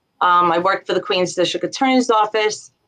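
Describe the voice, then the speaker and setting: Speaking in a Long Island accent, a woman talks at a medium pitch. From Long Island, New York. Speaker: business founder, former legal worker. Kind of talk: interview answer.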